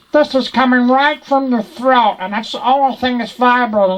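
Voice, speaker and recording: A man puts on a strained, guttural character voice at an extremely high pitch, speaking at a moderate pace. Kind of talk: instructional talk to camera.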